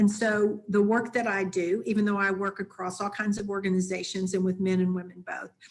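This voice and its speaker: A woman talks at a fairly quick pace with hardly any pauses. Her intonation is flat and monotone. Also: medium pitch for a woman. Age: 60s. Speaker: leadership coach and consultant. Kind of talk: webinar presentation.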